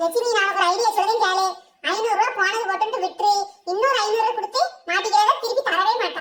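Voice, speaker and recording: Here a woman does a cartoonish character voice at an extremely high pitch. Her intonation is fairly even and her pace fairly quick. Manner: exclaiming, flustered.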